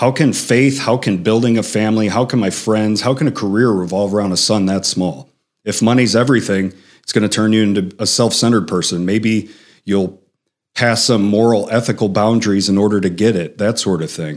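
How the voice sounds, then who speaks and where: A man with a Chicago accent, a fairly low pitch and a fairly quick pace. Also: ordinary pitch variation. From Chicago, South Side. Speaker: author and executive coach. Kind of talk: interview conversation. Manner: animated.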